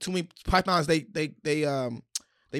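In an American accent, a normal speaking voice moves at a fairly quick pace with ordinary pitch variation, in a very clean recording with a silent background and a dry, close sound with no echo. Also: man. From Washington DC. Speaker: stand-up comedian. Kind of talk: casual chat. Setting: studio.

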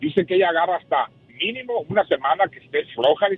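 A man speaks at a very fast pace in a high voice. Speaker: caller. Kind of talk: phone-in call. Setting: phone call on speakerphone. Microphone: speakerphone, hard to hear at first.

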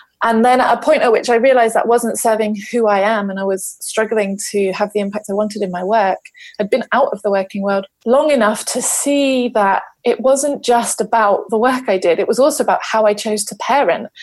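A woman's fairly high voice in a South London accent, fairly quick and hardly pausing, with fairly even intonation. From South London, England. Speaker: parenting and leadership coach. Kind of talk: casual podcast interview.

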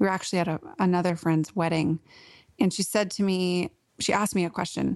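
Against a quiet background, a woman with an American accent and an ordinary speaking voice talks at a fairly quick pace, medium pitch and fairly even intonation. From US Pacific Northwest (Portland, Oregon). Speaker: author and writing coach. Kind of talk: podcast interview.

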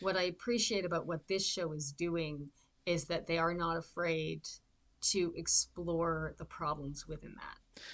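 A woman speaks in a Canadian accent at a fairly slow pace, with a fairly low pitch and fairly even intonation. It is an unremarkable speaking voice. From southern Ontario, Canada. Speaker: actor and podcast co-host. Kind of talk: casual chat.

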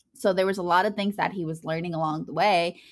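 A woman with an American accent speaks at a medium pitch with ordinary pitch variation, in a plain, everyday voice. The recording is very clean, with a silent background. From Virginia, US. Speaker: student and nonprofit founder. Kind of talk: interview conversation.

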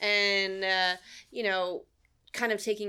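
A woman speaks in a bright, sharp tone. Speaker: construction apprentice and communist organizer. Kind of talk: casual oral history interview. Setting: library office recording. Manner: rambling, hesitant, filler-heavy, casual.

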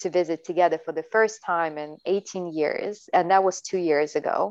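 Over a quiet background, a woman with a normal speaking voice and an American accent speaks at a moderate pace, her fairly low pitch and fairly even intonation captured dry and close with no echo. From Latvia, Siberia and the US. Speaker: dancer and choreographer. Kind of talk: casual chat.

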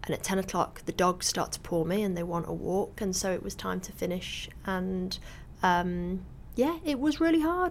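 In a Mancunian accent, a woman speaks at a moderate pace. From northern England, Salford. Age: 40s. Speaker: magazine editor and author. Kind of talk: interview. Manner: halting.

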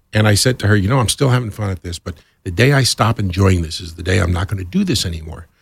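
At a very fast pace, a man talks in a fairly low, somewhat breathy voice with ordinary pitch variation. The sound is dry and close, with no echo. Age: 60s. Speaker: radio programming executive. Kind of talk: interview.

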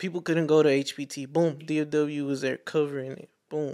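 In a very clean recording with a silent background, a man speaks at a fairly high pitch. His American accent comes with monotone, flat intonation. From Fort Worth, Texas. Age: 20s. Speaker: photographer and videographer. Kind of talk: casual podcast chat. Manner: casual slangy, says bro often.

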